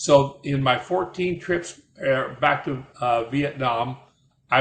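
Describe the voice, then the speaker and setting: A man speaks with a Midwestern accent. His pitch is fairly high. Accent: American Midwestern. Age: 80s+. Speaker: war veteran. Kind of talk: personal storytelling. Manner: halting, repeats words.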